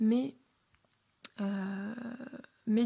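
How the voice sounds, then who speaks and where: This woman's voice sits fairly high and comes out somewhat breathy. Her tone is dark and mellow, with fairly even intonation. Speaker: podcaster. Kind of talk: personal monologue. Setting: at home, alone. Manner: calm, composed; hesitant, many fillers.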